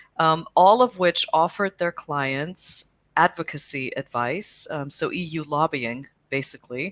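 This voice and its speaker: This woman speaks with an American accent in a very deep, low pitch, her pitch varying in an ordinary way. She talks at a fairly slow pace, and the sound is dry and close with no echo. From US Midwest, Chicago area. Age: middle-aged. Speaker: cycling advocacy organization executive. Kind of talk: interview. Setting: video call.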